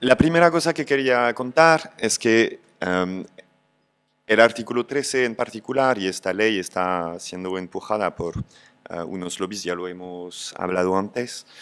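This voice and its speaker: Speaking with a non-native accent, a man uses a fairly low pitch and lively intonation at a fairly slow pace, with big swings in loudness. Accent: foreign accent in Spanish. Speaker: video platform music operations lead. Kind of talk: panel debate talk. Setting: public event panel with audience. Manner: hesitant, many fillers.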